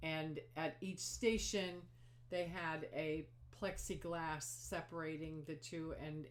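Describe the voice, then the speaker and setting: Over audible room echo, a woman speaks at a very slow pace in a very deep, low pitch with ordinary pitch variation. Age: 60s. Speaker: knitting podcaster. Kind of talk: casual chat. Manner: halting.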